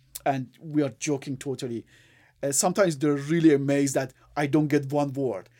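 With an Iranian accent and a dark, mellow tone, the speaker talks at a fairly quick pace with fairly even intonation on a very clean recording with a silent background. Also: man, fairly high pitch for a man. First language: Farsi. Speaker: engineer. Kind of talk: casual chat. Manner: halting.

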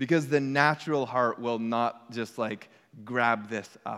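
Heard on a very clean recording with a silent background, the speech has ordinary pitch variation. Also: man. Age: 40s. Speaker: pastor. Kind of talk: sermon. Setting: church.

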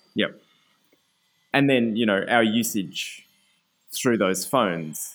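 A man with an Australian accent speaks very slowly at a fairly low pitch, leaving long, frequent pauses, with ordinary pitch variation and very even loudness on a very clean recording with a silent background. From Australia, Canberra. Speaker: community radio presenter and writer. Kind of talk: casual interview.

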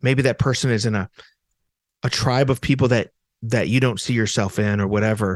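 An unremarkable speaking voice from a man at medium pitch, fairly quick pace, ordinary pitch variation and a quiet background. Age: 40s. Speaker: professor of faith and culture. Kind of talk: casual chat.

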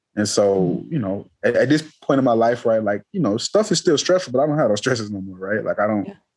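A man with an American accent at a medium pitch, very fast pace, lively intonation and hardly any pauses. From US South, inner-city Atlanta, Georgia. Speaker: mathematician. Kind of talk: interview conversation. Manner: many fillers and repetitions.

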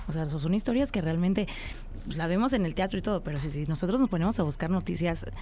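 A woman's fairly low voice, dark and mellow in tone. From Tabasco, Mexico. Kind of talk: casual radio interview. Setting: radio studio. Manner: halting, filler-heavy.

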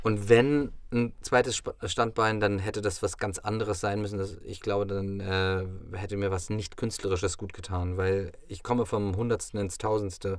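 In an ordinary speaking voice, a man talks at a moderate pace with fairly low pitch, fairly even intonation and hardly any pauses. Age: 30s. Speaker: actor. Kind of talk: casual chat. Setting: studio.

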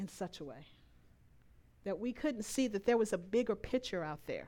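On a very clean recording with a silent background, a woman speaks. Her pitch is fairly high and makes very wide swings. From Louisiana. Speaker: lay speaker at church. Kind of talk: sermon. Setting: church service with congregation.

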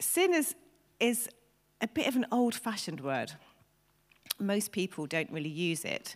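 Vocal fry marks a woman's fairly high pitch, with very wide pitch swings. She speaks at a moderate pace, leaving long, frequent pauses. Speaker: preacher. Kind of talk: sermon. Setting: church.

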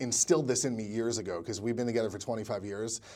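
A man with a medium pitch is talking while music plays behind him. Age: 40s. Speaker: filmmaker and screenwriter. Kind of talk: interview.

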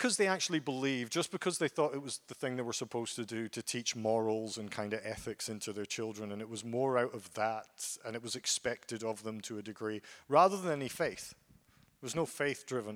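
A man with a Scottish accent talks at a fairly quick pace with hardly any pauses, his medium pitch showing ordinary variation, on a very clean recording with a silent background. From Scotland, Aberdeen area. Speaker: guest preacher. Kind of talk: sermon. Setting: church.

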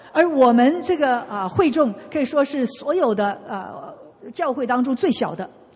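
Over noticeable background noise, a woman talks fairly slowly in a high pitch with lively intonation. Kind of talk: consecutive interpreting of a sermon into Mandarin. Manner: steady, fluent, echoing each preacher line in Mandarin.

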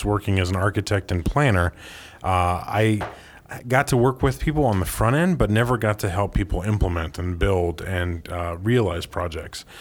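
A man speaks at a moderate pace in a very deep, low voice. The recording is very clean, with a silent background. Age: 30s. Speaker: architect and urban planner. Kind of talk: interview. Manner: frequent filler hesitations.

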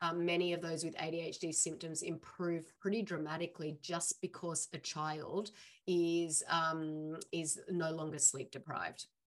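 Fairly slow and fairly low, a woman speaks with monotone, flat intonation. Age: 40s. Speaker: holistic nutrition practitioner. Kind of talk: interview. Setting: video call.

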